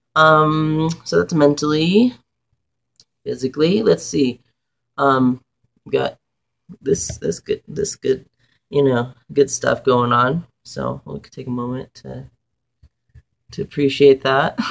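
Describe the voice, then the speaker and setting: A man at a very slow pace, with long, frequent pauses. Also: big swings in loudness. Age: 20s. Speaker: vlogger documenting gender transition. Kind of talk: casual video diary. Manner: animated.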